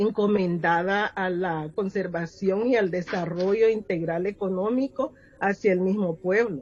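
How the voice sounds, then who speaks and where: A woman speaks at a fairly slow pace with a medium pitch and ordinary pitch variation, leaving hardly any pauses. Noticeable background noise runs underneath. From Honduras, Garífuna community. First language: Garífuna (speaking Spanish). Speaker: poet and educator. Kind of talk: interview.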